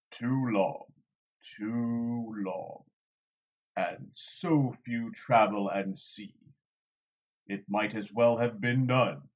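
Putting on a character voice, a man rumbles at a medium pitch and a very slow pace, with big swings in loudness and long, frequent pauses. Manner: slow, deliberate; mild, slightly wounded, earnest.

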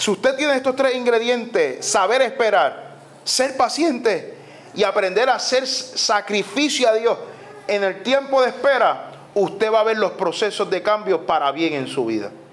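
A man with a Puerto Rican accent speaks at a fairly slow pace in a high, animated voice with ordinary pitch variation, over noticeable background noise. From Puerto Rico. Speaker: pastor. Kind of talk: sermon.

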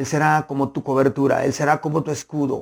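Speaking at a fairly slow pace, a man uses a medium-pitched voice with a warm tone and vocal fry. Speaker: pastor. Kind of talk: sermon. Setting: online broadcast. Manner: earnest, pastoral, warm, with rhythmic repetition of phrases.

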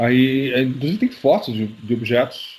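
A man talks at a fairly slow pace with a somewhat breathy, dark and mellow tone. His pitch sits in the medium range and varies an ordinary amount. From Curitiba, southern Brazil. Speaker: UFO researcher and author. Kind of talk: interview.

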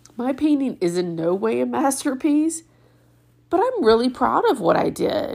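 A woman's high voice with very wide pitch swings at a moderate pace, over noticeable background noise. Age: 50s. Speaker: podcast host and retreat organizer. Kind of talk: casual solo monologue.

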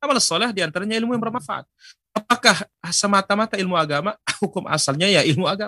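Bright and sharp in tone, a man speaks in a raised, projected voice at a very fast pace. The sound is dry and close with no echo. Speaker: Islamic preacher. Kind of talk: religious lecture; Q&A answering viewer questions. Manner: formal.

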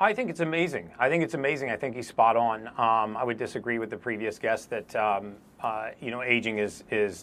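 Here a man has an ordinary speaking voice at medium pitch. He talks at a fairly quick pace with ordinary pitch variation. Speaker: biologist. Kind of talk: panel opinion, earnest argument.

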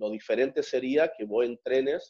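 A man with a medium pitch and an unremarkable speaking voice talks at a fairly slow pace. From northern Argentina, Santiago del Estero. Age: 30s. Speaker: strongman athlete. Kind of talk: interview.

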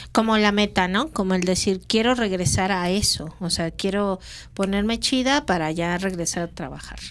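Over a very clean recording with a silent background, a woman has an ordinary speaking voice, speaking at a moderate pace and medium pitch with ordinary pitch variation. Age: 40s. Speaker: podcast co-host. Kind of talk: casual chat.

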